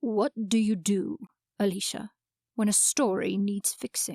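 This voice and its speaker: In a put-on character voice, a woman speaks at a fairly slow pace with a medium pitch and ordinary pitch variation. The sound is resonant, dry and close, with no echo. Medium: audio drama. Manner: calm, unhurried, certain.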